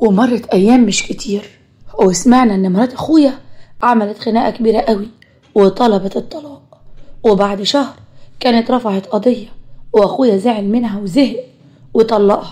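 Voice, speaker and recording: A woman with an Egyptian accent speaks at a moderate pace, leaving long, frequent pauses. Her voice is somewhat breathy and fairly high, with fairly even intonation. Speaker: storyteller. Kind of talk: first-person story narration.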